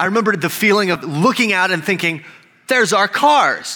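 A man's high, raised, projected voice with very wide pitch swings and an American accent. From Texas, El Paso. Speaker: pastor. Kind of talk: sermon.

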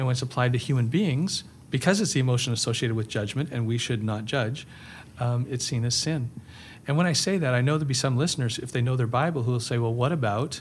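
A man speaks at a very fast pace in a medium-pitched, somewhat breathy voice with ordinary pitch variation. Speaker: pastor and author. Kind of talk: casual interview chat. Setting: in person. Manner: calm, gentle.

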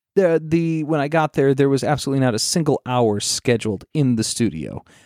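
With a normal speaking voice and lively intonation, a man comes through in a dry, close sound with no echo. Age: 30s. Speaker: former radio broadcaster. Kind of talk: casual chat.

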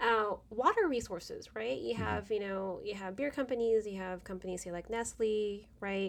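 Speaking at a moderate pace with hardly any pauses, a woman uses a normal speaking voice at medium pitch with ordinary pitch variation. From Philippines, raised in Carson, California from age seven. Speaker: chemistry professor. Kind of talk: casual interview.

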